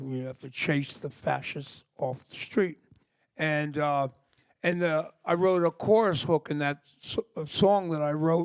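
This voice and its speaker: A plain, everyday voice speaks with an American accent at a moderate pace. Pitch variation is ordinary, and the sound is dry and close with no echo. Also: man. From US Northeast (New York area). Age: 60s. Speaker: punk singer. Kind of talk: interview. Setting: library stage with audience.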